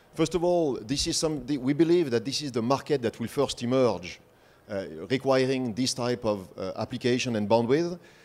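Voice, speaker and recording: A man speaks with a French accent. His pitch is medium and his intonation lively. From France. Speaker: industry presenter. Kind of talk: conference presentation.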